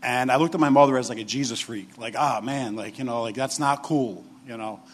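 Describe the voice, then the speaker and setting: Talking fairly quickly with a New York accent, a man keeps a medium pitch and fairly even intonation. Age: 40s. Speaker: assistant director of addiction recovery program. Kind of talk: testimony. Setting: stage with audience. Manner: halting.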